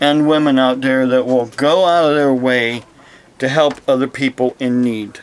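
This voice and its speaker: A man with an American accent and a plain, everyday voice talks at a fairly slow pace with fairly even intonation. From United States. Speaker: preacher. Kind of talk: casual talk to camera.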